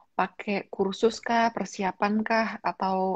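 A woman of medium pitch speaks very slowly in a somewhat breathy voice with monotone, flat intonation, in a dry sound with no echo against a quiet background. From Indonesia, Malang (East Java); East Java, Indonesia. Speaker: YouTuber and livestream host; YouTuber, livestream host. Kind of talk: livestream interview. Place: home room. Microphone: video call.

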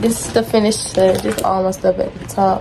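Over faint background noise, a woman talks at a moderate pace with a medium pitch, a dark, mellow tone, vocal fry and little pitch movement.

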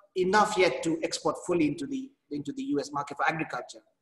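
Audible room echo surrounds a man's voice against a quiet background. He talks at a fairly quick pace. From Kenya. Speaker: agribusiness executive. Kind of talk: panel discussion. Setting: video call. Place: office. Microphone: video call.

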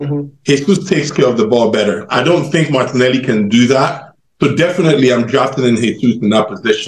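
A man talks at a fairly quick pace, somewhat breathy, with ordinary pitch variation and very even loudness. Audible room echo surrounds his voice. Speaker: football fan panelist. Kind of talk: post-match fan debate. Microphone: video call.

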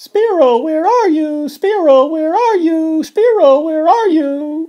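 Squeaky and high-pitched, this is a put-on character voice. It moves at a fairly slow pace. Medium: solo performance. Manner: repetitive, sing-song.

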